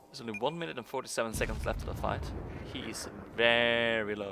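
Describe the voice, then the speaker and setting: Talking at a very fast pace, a man with a Norwegian accent has a medium pitch. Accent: Norwegian accent in English pronunciation. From Norway. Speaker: gaming commentator. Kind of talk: gameplay commentary. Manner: halting, many fillers; mumbling.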